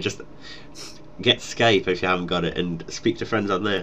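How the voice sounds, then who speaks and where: A man with a Geordie accent, talking at a very fast pace. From northeast England, Newcastle. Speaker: gaming YouTuber. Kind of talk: casual Q&A chat.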